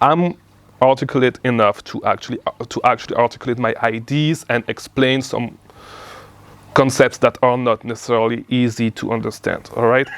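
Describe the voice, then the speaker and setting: Medium-pitched man with a non-native accent, fairly even intonation and a moderate pace, recorded dry and close with no echo. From outside the US. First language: not English. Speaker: online business coach. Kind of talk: casual talk to camera. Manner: halting, many repeats.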